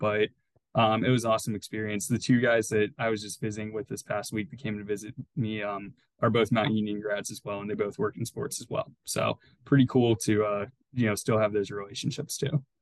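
Here is a plain, everyday voice: a man with an American accent, fairly low in pitch. He speaks at a fairly quick pace with fairly even intonation. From US Midwest, Youngstown, Ohio. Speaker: sports ticket sales manager. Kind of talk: casual interview.

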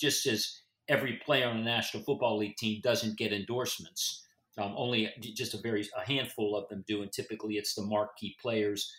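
The man has an American accent and a bright, sharp tone. He talks fairly quickly at a medium pitch. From Florida, US. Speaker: sports agent and lawyer. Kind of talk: professional interview conversation. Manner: halting, repeats words.

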